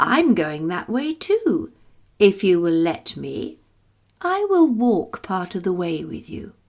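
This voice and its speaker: Putting on a gruff, hoarse character voice, a woman speaks at a medium pitch and fairly slow pace. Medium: read story. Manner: sly, sweetly menacing.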